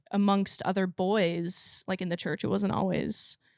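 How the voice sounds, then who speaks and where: In a very clean recording with a silent background and a dry, close sound with no echo, the speaker uses monotone, flat intonation and has a slight country accent. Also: woman. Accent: slight country twang. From California. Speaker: country singer. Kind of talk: interview.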